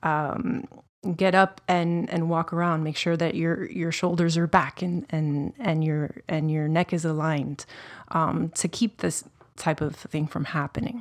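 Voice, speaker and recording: Here is a woman with a plain, everyday voice. Her fairly low pitch moves with ordinary variation. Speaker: creative director, former nutritionist. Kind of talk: casual interview chat. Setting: studio. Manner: friendly, upbeat.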